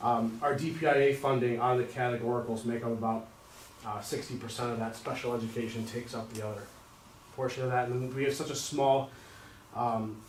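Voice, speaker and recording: The speech moves at a fairly quick pace with monotone, flat intonation. Audible room echo and noticeable background noise come through. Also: man, medium pitch for a man. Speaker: school district treasurer. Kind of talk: financial presentation at board meeting. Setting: public board meeting. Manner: fast.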